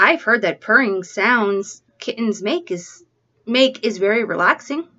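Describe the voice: Against a quiet background, the plain reading aloud shows ordinary pitch variation.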